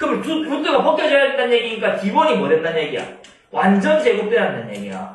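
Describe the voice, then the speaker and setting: An extremely high-pitched man's voice with very wide pitch swings and a fairly quick pace, carrying audible room echo. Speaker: math tutor. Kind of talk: lecture. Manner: fast; casual.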